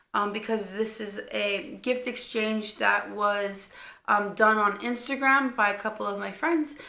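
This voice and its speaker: Amid audible room echo, a woman speaks in a bright, sharp tone at a moderate pace with ordinary pitch variation. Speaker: cannabis vlogger. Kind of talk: casual vlog talk. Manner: hesitant, many fillers.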